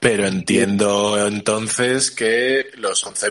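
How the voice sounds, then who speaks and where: A man speaks with a fairly low pitch, a bright, sharp tone and fairly even intonation. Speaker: podcast host. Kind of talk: casual chat.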